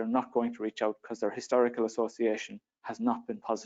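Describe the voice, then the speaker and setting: Delivered at a very fast pace in an Irish accent, the speech has a monotone, flat intonation. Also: man. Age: 30s. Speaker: young farmer and panellist. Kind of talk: panel discussion. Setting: conference stage with audience.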